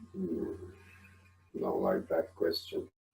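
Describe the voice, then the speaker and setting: A man's put-on character voice, extremely high in pitch. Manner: curt, disapproving.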